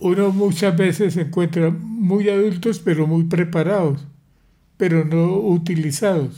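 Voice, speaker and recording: Against audible room echo, a man with a high-pitched, dark, mellow voice speaks at a fairly slow pace, with very even loudness and fairly even intonation. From Colombia, Pamplona, Norte de Santander. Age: 80s+. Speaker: grandfather sharing life story. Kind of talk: casual family interview.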